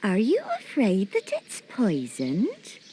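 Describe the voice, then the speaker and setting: A woman in a put-on character voice speaks fairly slowly at medium pitch, with very wide pitch swings. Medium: read story. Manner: scheming, falsely friendly.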